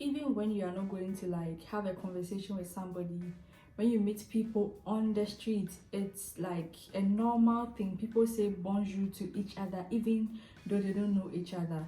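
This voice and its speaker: A woman speaks at a moderate pace with fairly even intonation. Music plays in the background, and audible room echo is present. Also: medium pitch for a woman. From Ghana. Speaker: YouTuber. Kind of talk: casual vlog talk. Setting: eating a snack while talking.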